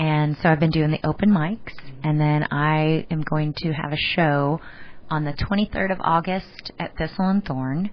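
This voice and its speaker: Her pitch very deep and low, a woman with an American accent speaks at a moderate pace. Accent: Texas country accent, returning. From Texas. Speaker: musician. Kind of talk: radio interview. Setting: radio studio. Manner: loud.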